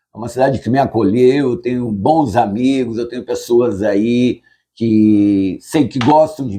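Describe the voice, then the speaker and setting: Medium pitch from a man with a dark, mellow tone, fairly slow pace and ordinary pitch variation. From southern Brazil, Passo Fundo, Rio Grande do Sul. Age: 60s. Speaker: lawyer. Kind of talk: interview. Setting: lawyer's office.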